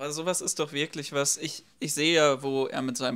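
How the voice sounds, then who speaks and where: A man speaks rather quickly, with only quiet in the background. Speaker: left-wing YouTube commentator. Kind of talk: reaction video commentary. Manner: animated. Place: home room.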